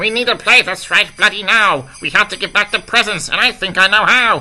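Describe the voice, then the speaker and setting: A put-on character voice from a man, high in pitch, grumpy in tone, at a fairly quick pace. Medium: solo performance. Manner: grumpy, sour.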